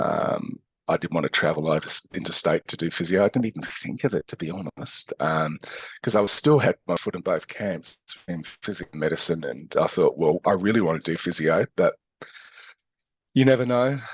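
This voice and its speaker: A man with an Australian accent talks in a dry, close sound with no echo. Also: moderate pace. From Australia, Adelaide. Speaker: physiotherapist and educator. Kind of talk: interview. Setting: podcast. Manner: hesitant, many fillers.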